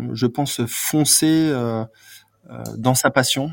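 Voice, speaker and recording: This voice belongs to a man. The variation in his pitch is ordinary. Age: 40s. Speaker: PR and marketing manager for a bike brand, former sports journalist. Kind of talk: interview. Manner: hesitant, many fillers and repetitions.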